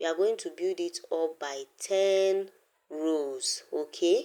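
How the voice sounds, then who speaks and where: Very slowly and with fairly even intonation, a woman with a non-native accent talks in a fairly low pitch and a dark, mellow tone. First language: not English. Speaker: craft tutorial creator. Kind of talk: tutorial.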